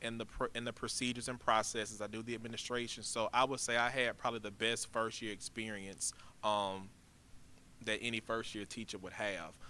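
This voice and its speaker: In a bright, sharp tone, a man delivers flat, monotone speech at medium pitch and a fairly quick pace. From Louisiana, Baton Rouge. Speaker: high school principal. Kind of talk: interview. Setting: school auditorium. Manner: calm, even-toned; soft-spoken, not loud.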